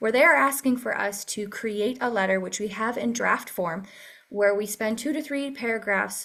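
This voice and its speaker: Her pitch fairly high with ordinary variation, a woman is captured on a very clean recording against a silent background. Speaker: advocacy task force leader. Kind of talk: meeting presentation. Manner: fast.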